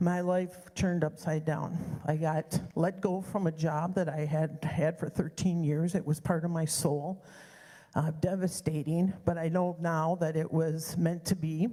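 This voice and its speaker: A woman speaks slowly-ish and somewhat breathy, her fairly low, dark, mellow voice held to monotone, flat intonation and very even loudness. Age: 60s. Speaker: church member sharing personal story, energy healer. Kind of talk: personal testimony. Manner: casual, with filler words.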